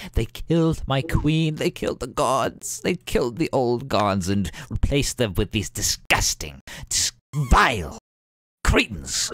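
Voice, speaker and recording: A man in a put-on character voice at a fairly slow pace. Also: medium pitch for a man. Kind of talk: grand prophetic speech. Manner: frenzied, ecstatic, cackling.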